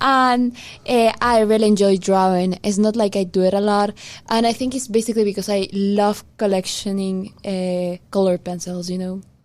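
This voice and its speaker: In a Spanish accent, the speaker talks at a moderate pace with fairly even intonation. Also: woman, medium pitch for a woman. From Peru. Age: 20s. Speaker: podcast co-host. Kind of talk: casual chat.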